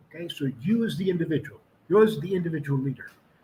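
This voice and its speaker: A man's high-pitched voice carries lively intonation as he talks. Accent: American. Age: 70s. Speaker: retired army officer and author. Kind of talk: interview.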